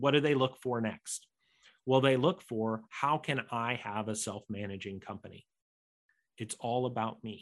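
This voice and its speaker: A man with an American accent talks at a fairly slow pace in an ordinary speaking voice, with ordinary pitch variation against a quiet background. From United States. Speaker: entrepreneur and author. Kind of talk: podcast interview.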